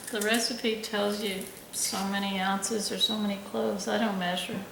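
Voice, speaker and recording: Soft-spoken, a woman talks at a moderate pace amid noticeable background noise. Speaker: microbiologist. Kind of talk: cooking tutorial talk.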